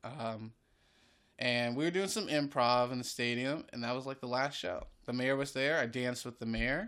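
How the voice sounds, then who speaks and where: A man's bright, sharp tone at medium pitch with an American accent on a very clean recording with a silent background. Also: ordinary pitch variation, moderate pace. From North Carolina (Greensboro). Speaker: improv comedian and actor. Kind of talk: casual chat. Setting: at home.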